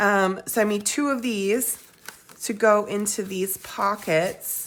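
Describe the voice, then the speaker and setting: At a very slow pace, a woman speaks at medium pitch. Noticeable background noise can be heard. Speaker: crafting YouTuber. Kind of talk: tutorial. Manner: casual, with many fillers.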